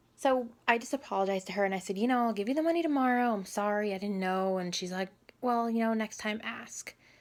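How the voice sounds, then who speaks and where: Quiet and very fast, a woman speaks at a fairly high pitch with ordinary pitch variation in a very clean recording with a silent background. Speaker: vlogger. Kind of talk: personal story vlog.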